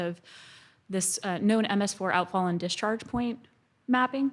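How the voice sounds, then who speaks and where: Soft-spoken and at a fairly quick pace, a woman is heard on a very clean recording with a silent background. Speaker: GIS specialist, environmental consultant. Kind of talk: conference presentation. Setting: conference stage with audience.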